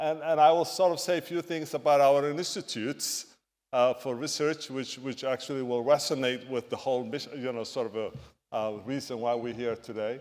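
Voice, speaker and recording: Speaking at a fairly quick pace with an East African accent, a man talks at medium pitch with ordinary pitch variation on a very clean recording with a silent background. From Somalia. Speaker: physician and medical researcher. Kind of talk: conference talk. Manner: halting.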